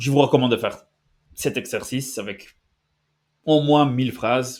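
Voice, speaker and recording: A man with a non-native accent on a very clean recording with a silent background. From Basque Country, Spain. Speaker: language-learning youtuber. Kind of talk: tutorial. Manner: halting, many fillers and restarts.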